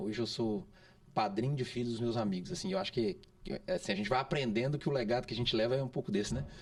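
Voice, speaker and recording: Lively in intonation, the speaker goes at a very fast pace in a Minas Gerais accent. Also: man. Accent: mineiro. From Minas Gerais, Brazil (Santa Bárbara, near Belo Horizonte). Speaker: podcast co-host. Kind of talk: casual podcast conversation. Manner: halting, frequent repetitions and fillers.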